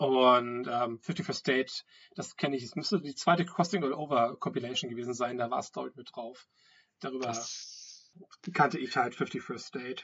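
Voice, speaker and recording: With big swings in loudness, a man talks at a moderate pace and medium pitch in an unremarkable speaking voice. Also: ordinary pitch variation. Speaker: podcast host. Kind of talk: casual chat. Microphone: wrong microphone, poor sound quality.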